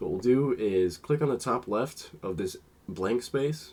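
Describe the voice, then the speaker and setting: Lively in intonation, a man with an unremarkable speaking voice talks at a moderate pace. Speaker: lighting tutorial creator. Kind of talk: tutorial.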